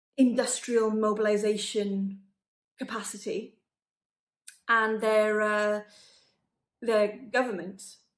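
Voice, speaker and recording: Her pitch fairly high and her intonation monotone and flat, a woman speaks very slowly with long, frequent pauses. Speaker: professional actor performing a verbatim monologue. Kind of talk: verbatim monologue of a real interview about lockdown. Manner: articulate, fluent, opinionated.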